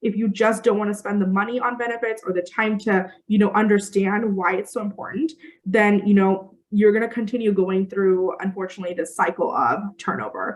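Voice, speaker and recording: A woman talks at a medium pitch. Her pace is fairly quick. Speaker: recruiter and company founder. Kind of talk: webinar presentation. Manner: fast.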